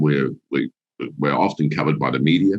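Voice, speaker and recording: A man talks with a New Zealand accent. His pitch is very deep and low. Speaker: business executive. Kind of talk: interview. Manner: halting, many restarts.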